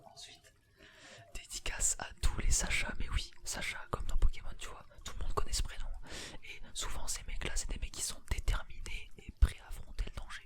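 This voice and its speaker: A man whispers at a moderate pace. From France. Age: 18. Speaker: ASMR and gaming YouTuber. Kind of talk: casual talk to camera. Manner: casual, chatty, laid-back.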